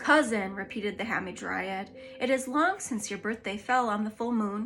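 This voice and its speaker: Putting on a character voice, a woman speaks softly in a fairly high pitch, with a hissing sound. Her pace is moderate. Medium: read story. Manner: soft, gracious, lordly.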